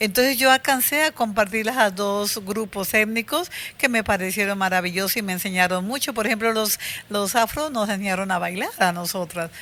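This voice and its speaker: With a bright, sharp tone, a woman talks at a mid-range pitch. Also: ordinary pitch variation, moderate pace. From Colombia, Putumayo (Puerto Limón). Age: 70s. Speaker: women's rights activist, former teacher. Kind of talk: interview testimony.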